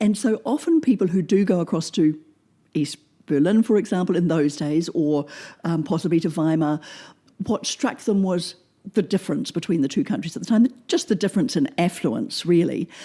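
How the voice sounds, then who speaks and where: A woman's fairly low, somewhat breathy voice with a dark, mellow tone, lively intonation and a moderate pace. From New Zealand, Oamaru (South Island small town). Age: 60s. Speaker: former German teacher. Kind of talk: interview. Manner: hesitant, many fillers and repetitions.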